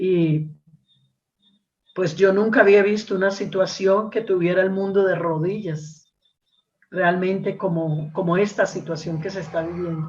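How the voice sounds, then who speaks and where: Over audible room echo, a woman speaks in a medium pitch at a fairly slow pace. Her voice is somewhat breathy, with fairly even intonation. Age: 60s. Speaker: preacher. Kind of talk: sermon. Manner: repetitive, with fillers and hesitations.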